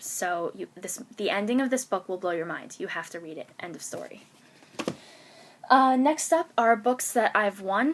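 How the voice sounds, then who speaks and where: A woman at a moderate pace, with very wide pitch swings and big swings in loudness. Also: medium pitch for a woman. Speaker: book blogger. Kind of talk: casual talk to camera. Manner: rambling, hesitant; excited.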